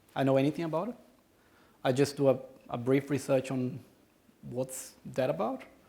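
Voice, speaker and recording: This man talks in a Brazilian accent at a medium pitch, with fairly even intonation. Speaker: conference speaker. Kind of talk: conference talk with audience Q&A. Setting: stage with audience. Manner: halting, many repetitions.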